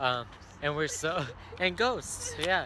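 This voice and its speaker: Delivered at a moderate pace, the voice sounds dry with no echo over noticeable background noise. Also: man. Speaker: vlogger. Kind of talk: casual vlog chat. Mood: playful, joking. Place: forest. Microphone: phone near.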